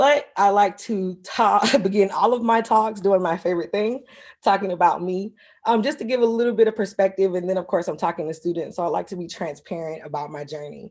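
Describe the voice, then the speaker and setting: A woman's medium-pitched voice in a South Carolina accent, fairly quick, with ordinary pitch variation. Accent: Southern US (South Carolina). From US South, South Carolina. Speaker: marine ecologist. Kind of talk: lecture. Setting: video call.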